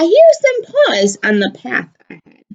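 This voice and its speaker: A woman does a put-on character voice. It is squeaky and extremely high in pitch. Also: moderate pace. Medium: read story.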